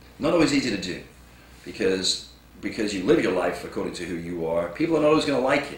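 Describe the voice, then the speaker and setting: Talking at a very fast pace with very wide pitch swings, a man is heard amid noticeable background noise and audible room echo. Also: medium pitch for a man. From England. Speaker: motivational speaker. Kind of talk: inspirational talk.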